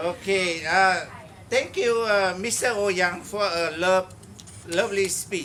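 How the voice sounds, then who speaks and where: Raising and projecting his high-pitched voice, a man speaks at a fairly slow pace with fairly even intonation over noticeable background noise. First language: not English. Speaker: father of the groom. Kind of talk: wedding speech. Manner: halting.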